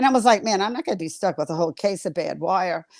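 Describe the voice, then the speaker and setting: In a Southern US accent, a woman talks in an animated tone with a dry, close sound and no echo. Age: 70s. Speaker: florist and wreath-making teacher. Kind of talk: casual chat. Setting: livestream.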